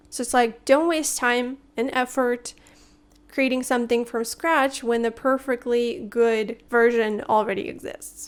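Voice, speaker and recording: A woman with a Russian accent speaks fairly slowly in a high voice, her intonation fairly even. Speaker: language teacher YouTuber. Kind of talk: tutorial.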